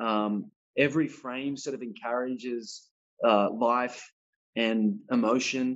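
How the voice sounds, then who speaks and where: Monotone, flat speech with an Australian accent at a very slow pace, over a quiet background. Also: man, medium pitch for a man. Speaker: actor. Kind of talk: interview. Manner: halting, many fillers.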